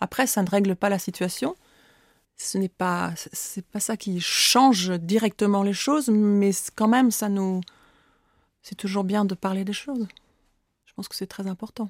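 Over a silent background on a very clean recording, a woman with a medium pitch speaks with fairly even intonation and long, frequent pauses. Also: big swings in loudness. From France, rural Oise. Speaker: author. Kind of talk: interview. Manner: halting, many repetitions.

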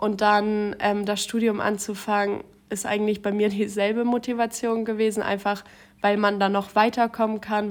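Her delivery is fairly slow and monotone, with flat intonation. The woman's pitch sits in the medium range. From Schleswig-Holstein. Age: 20s. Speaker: trainee civil servant and student. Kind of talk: interview.

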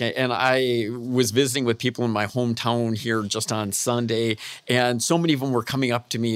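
An ordinary speaking voice from a man with an American accent, medium pitch and fairly even intonation. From Michigan, US Midwest. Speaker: professor of equine exercise physiology. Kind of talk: interview.

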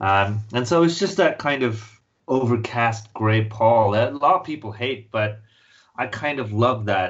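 The man's voice is somewhat breathy, sitting at a medium pitch with ordinary pitch variation. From Mumbai, India. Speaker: comic book writer. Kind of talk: casual interview. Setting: remote call from London.

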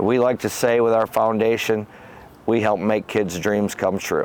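Speaking at a fairly quick pace, a man with a Michigan accent uses a fairly low pitch. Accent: Michigan (Inland North) American. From Michigan, Howell area. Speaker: former football coach. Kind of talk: casual interview.

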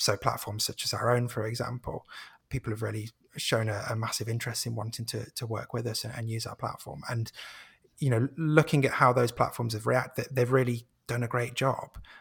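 A man with an ordinary speaking voice talks at a fairly quick pace and medium pitch, with fairly even intonation. The recording is very clean, with a silent background. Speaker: marketing and content head, podcaster. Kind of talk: casual interview.

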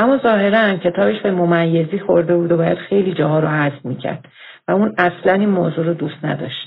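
Talking at a very fast pace, a woman uses lively intonation. Her pitch sits fairly low. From Iran, Tehran. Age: 50s. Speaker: listener telling her life story. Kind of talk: recorded personal testimony.

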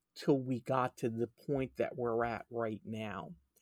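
Very clean and dry, with a silent background and no echo, the recording captures a man's dark, mellow tone in an American accent. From New Jersey. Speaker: EMS chief. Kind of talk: interview.

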